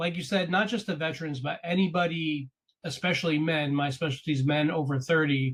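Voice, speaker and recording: A normal speaking voice moves along at a fairly quick pace, its intonation fairly even. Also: man, fairly high pitch for a man. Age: 40s. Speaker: podcast host and coach. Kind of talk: interview conversation.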